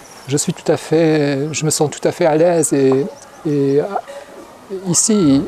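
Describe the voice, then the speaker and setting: A man with a fairly high pitch speaks at a very slow pace and fairly even intonation. Noticeable background noise sits behind him. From France. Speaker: Buddhist monk. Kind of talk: interview. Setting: monastery. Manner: halting, many repetitions.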